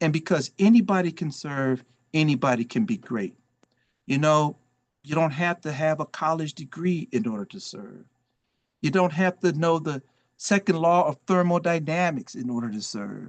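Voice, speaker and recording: Against a quiet background, a man with a plain, everyday voice speaks at a moderate pace and a fairly high pitch, his lively intonation heard in a dry, close sound with no echo. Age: 60s. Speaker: volunteer and former congressional chief of staff. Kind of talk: motivational talk.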